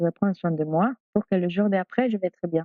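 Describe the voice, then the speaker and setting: A woman is talking. Her pitch rises and falls in an ordinary way. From Peru. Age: 40s. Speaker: doula. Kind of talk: interview. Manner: halting.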